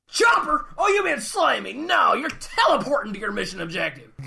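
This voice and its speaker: The speaker uses a put-on character voice. It moves at a moderate pace. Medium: audio drama. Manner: loud, barking, bombastic.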